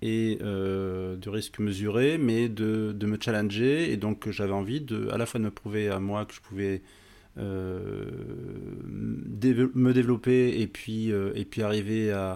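Very slowly and with fairly even intonation, a man with a fairly low pitch speaks in a very clean recording with a silent background. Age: 50s. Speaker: investment fund president. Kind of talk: podcast interview. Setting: office.

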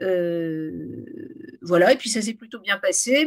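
In a very clean recording with a silent background, a woman with a plain, everyday voice speaks at a fairly slow pace in a medium pitch with lively intonation. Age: 50s. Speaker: novelist. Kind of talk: author interview.

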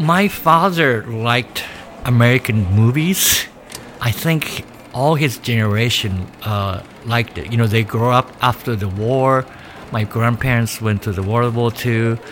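A man with a Japanese accent speaks at a fairly slow pace and medium pitch with ordinary pitch variation over noticeable background noise. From Japan, rural Nagano. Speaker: painter. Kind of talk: interview monologue. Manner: halting, with fillers.

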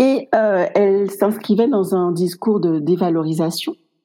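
The tone is dark and mellow, and the delivery moves at a fairly slow pace. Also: woman. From Guadeloupe. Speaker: clinical psychologist. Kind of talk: casual interview conversation.

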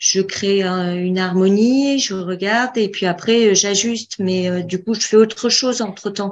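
A woman with a plain, everyday voice speaks at a medium pitch and a fairly slow pace. Her intonation stays fairly even against a quiet background. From Bordeaux, south-west France. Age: 40s. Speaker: student of an interior design course. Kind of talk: casual chat.

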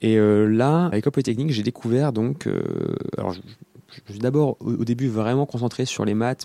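A man with a medium-pitched voice and a dark, mellow tone, his pitch varying in an ordinary way. The sound is dry and close with no echo, on a very clean recording with a silent background. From western France, near Nantes. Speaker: PhD student. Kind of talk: interview.

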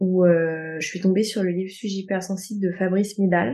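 This woman has a dark, mellow tone at medium pitch. Her intonation stays fairly even. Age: 20s. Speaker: osteopath. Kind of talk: testimony. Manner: hesitant, with fillers.

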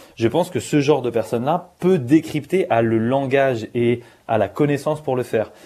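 In a very clean recording with a silent background, a man at medium pitch speaks at a moderate pace with a dark, mellow tone and ordinary pitch variation. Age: 30s. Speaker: streamer and media founder. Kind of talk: panel discussion.

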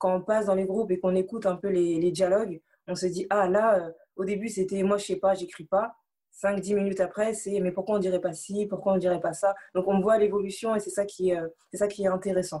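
The woman's voice has a dark, mellow tone at a medium pitch. She talks fairly quickly with monotone, flat intonation. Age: 20s. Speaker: anti-bullying association volunteer. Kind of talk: interview. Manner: halting, many repetitions.

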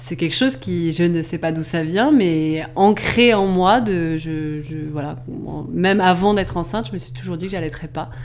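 Amid noticeable background noise and audible room echo, a woman with a fairly low pitch speaks at a moderate pace with lively intonation. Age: 30s. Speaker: journalist and online shop owner, mother. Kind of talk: casual interview about breastfeeding. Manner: hesitant, many fillers.

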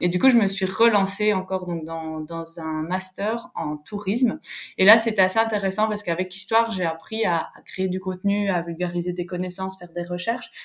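Against a quiet background, a woman with an ordinary speaking voice talks at a moderate pace and medium pitch with fairly even intonation. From French-speaking Belgium. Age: 20s. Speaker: travel planner. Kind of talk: casual interview.

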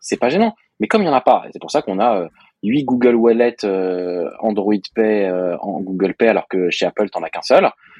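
Dry and close with no echo, a man's normal speaking voice comes at a fairly quick pace and medium pitch. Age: 30s. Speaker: software developer, podcast co-host. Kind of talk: casual chat.

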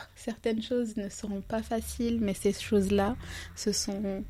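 Speaking fairly slowly, a woman uses a somewhat breathy, dark, mellow tone with monotone, flat intonation. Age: 30s. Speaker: life coach. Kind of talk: casual interview.

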